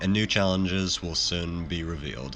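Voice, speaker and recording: Music plays in the background as a man speaks at a fairly slow pace. His pitch is very deep and low. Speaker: game streamer. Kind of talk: gameplay commentary.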